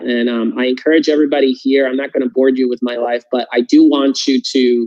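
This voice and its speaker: A man talks at a moderate pace with a Puerto Rican accent. His intonation is fairly even. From Puerto Rico. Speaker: political candidate. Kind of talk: testimony. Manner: halting, many fillers.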